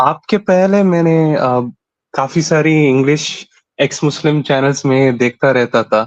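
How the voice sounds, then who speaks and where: In a South Indian accent, this voice keeps ordinary pitch variation and very even loudness, with a dry, close sound and no echo. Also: man, fairly high pitch for a man. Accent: South Indian accent in Hindi. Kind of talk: call-in conversation. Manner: halting.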